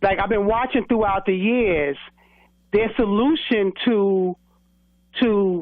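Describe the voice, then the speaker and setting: Woman with a New York accent, medium pitch and ordinary pitch variation, at a very slow pace. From New York City, Brooklyn. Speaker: former correction officer. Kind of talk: radio interview.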